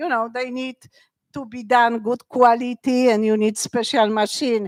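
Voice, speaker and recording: A woman speaks with a Polish accent at a high pitch and a moderate pace. Her intonation is monotone and flat, with big swings in loudness. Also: dry, close sound with no echo. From Poland, Krakow. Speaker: wearable art designer. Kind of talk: interview at live talk event. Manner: chaotic.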